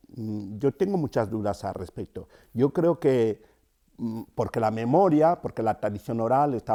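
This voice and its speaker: A man with a Cameroonian accent speaks at a fairly slow pace. His tone is dark and mellow, his pitch medium. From Cameroon, rural centre. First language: Yambasa (speaking Spanish). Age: 50s. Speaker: storyteller and writer. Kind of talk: interview. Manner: hesitant, with fillers.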